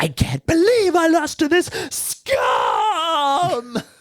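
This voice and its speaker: Extremely high in pitch, a put-on character voice unfolds at a very slow pace with a dramatic tone. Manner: over-the-top dramatic.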